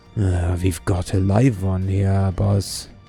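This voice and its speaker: Against clear background music, a man in a put-on character voice speaks very slowly at a very deep, low pitch in a flat monotone. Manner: muttering under his breath.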